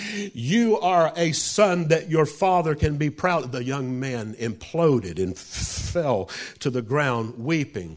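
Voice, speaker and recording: Very slowly, a man talks at a fairly high pitch with very wide pitch swings. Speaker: traveling preacher. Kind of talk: sermon. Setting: church.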